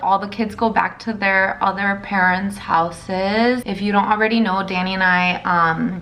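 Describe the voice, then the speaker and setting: A woman's medium-pitched, monotone, flat voice with audible room echo. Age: 30s. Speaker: beauty vlogger. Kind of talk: makeup tutorial. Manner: casual, chatty.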